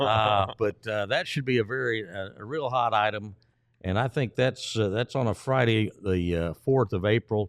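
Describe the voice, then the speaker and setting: A man speaks at a moderate pace in an ordinary speaking voice. His pitch is fairly low, with ordinary pitch variation. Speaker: stadium public address announcer. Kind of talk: casual interview answer about promotional giveaways.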